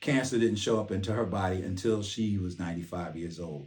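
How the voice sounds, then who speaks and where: A man talks at a moderate pace in a very deep, low voice with ordinary pitch variation. There is audible room echo. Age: 60s. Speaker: military retiree and cancer survivor vlogger. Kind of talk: personal testimony vlog. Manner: earnest, emphatic.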